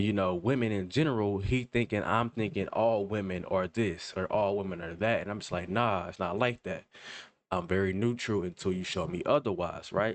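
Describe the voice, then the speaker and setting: A man with a fairly low pitch and ordinary pitch variation talks at a moderate pace. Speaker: reaction commentator. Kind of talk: casual commentary monologue. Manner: halting, self-interrupting.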